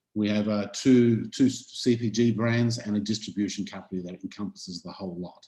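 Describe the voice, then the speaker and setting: A man with an Australian accent talks at a fairly quick pace in a fairly low, dark, mellow voice, with fairly even intonation and big swings in loudness. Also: hardly any pauses. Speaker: chef and food entrepreneur. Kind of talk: webinar panel introduction.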